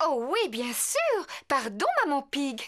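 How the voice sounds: A woman in a cartoonish character voice, high-pitched with a fairly bright tone, big pitch swings and a slow pace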